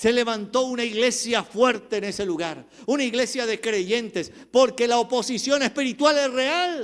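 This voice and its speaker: With hardly any pauses, a man speaks at a fairly slow pace and an extremely high pitch, with ordinary pitch variation. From Colombia, Cali. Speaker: pastor. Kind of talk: sermon.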